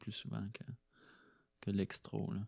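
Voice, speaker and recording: In a dry, close recording with no echo, a man speaks in a fairly low, monotone voice with flat intonation. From Quebec, rural Chaudière-Appalaches near Thetford Mines. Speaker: slam poet. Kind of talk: casual interview. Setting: host's living room. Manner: halting, many repetitions.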